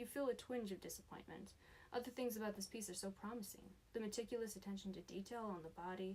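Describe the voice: What you hear is a plain reading aloud of a text.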